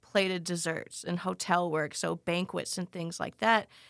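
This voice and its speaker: A woman with an American accent speaks at a moderate pace and medium pitch, her tone bright and sharp and her intonation fairly even, in a dry, close sound with no echo. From Texas, Dallas-Fort Worth area. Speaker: pastry chef and bakery owner. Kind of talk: casual interview chat. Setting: studio. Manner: halting, many fillers.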